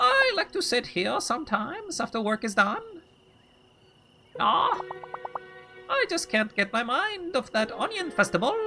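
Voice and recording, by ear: Using a put-on character voice with a fairly high pitch, the speaker goes at a moderate pace with long, frequent pauses while faint music plays behind.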